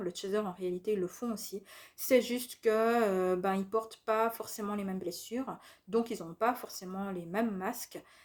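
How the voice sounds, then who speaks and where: The speaker goes at a fairly slow pace with fairly even intonation on a very clean recording with a silent background. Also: woman. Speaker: spiritual youtuber. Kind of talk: monologue video talk. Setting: at home. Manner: hesitant fillers.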